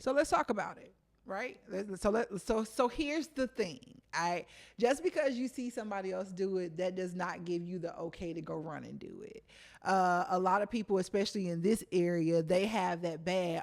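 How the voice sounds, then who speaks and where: A plain, everyday voice from a woman at medium pitch, moderate pace and lively intonation, with big swings in loudness on a very clean recording with a silent background. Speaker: interview show host. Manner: upbeat.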